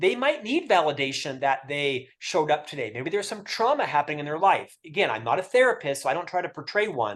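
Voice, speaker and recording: Talking at a fairly quick pace, a man with a high pitch makes very wide pitch swings. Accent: American. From Florida, US. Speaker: author and mentorship expert. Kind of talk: webinar interview. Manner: over-enunciated.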